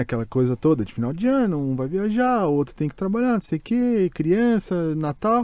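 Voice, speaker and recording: A man with a Brazilian accent, dark and mellow in tone, at a moderate pace with very wide pitch swings, dry with no echo over a quiet background. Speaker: podcast host. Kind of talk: casual chat. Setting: studio. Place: studio. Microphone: studio mic.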